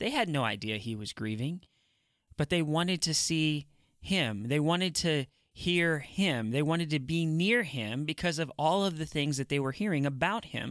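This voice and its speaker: An unremarkable speaking voice from a man, fairly high in pitch, at a moderate pace with lively intonation, on a very clean recording with a silent background. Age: 40s. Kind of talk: devotional teaching monologue.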